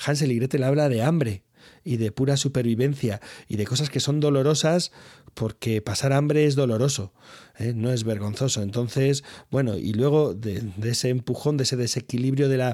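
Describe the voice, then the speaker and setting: On a very clean, dry and close recording with a silent background and no echo, a man speaks at a medium pitch and a moderate pace, with a dark, mellow tone and ordinary pitch variation. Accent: Spanish. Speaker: podcast host. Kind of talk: casual interview.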